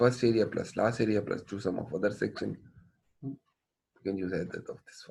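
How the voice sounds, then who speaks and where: This man has a fairly low pitch, vocal fry and fairly even intonation, and he talks at a fairly quick pace. His loudness swings widely, and he takes long, frequent pauses. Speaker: engineering professor. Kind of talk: lecture.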